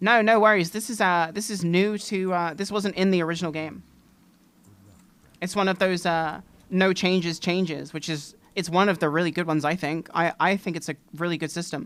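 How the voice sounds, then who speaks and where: A woman speaks with an English accent at a fairly quick pace, her pitch fairly low and her intonation fairly even. The recording is very clean, with a silent background. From England. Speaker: streamer. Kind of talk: casual gaming live stream chat.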